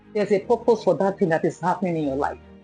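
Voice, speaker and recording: A woman's pitch varies in an ordinary way. Behind her, music is playing. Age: 40s. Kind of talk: interview answer.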